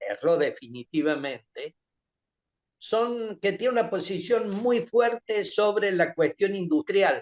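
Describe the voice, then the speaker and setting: A man's high-pitched voice at a fairly slow pace. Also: dry, close sound with no echo. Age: 70s. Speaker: lawyer and politician. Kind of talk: interview. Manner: halting, frequent repetitions.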